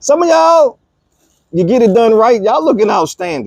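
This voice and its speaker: An animated man at a fairly quick pace, with very wide pitch swings. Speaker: podcast host. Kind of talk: casual monologue.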